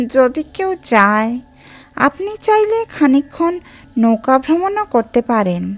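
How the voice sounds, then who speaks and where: A woman puts on a character voice, pitched high and swooping through very wide swings as she talks at a very slow pace. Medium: read story. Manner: soft, coaxing.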